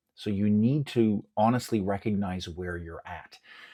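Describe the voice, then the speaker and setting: A man is speaking. He keeps a moderate pace with ordinary pitch variation. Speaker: self-defense instructor. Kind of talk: podcast monologue. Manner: very verbal.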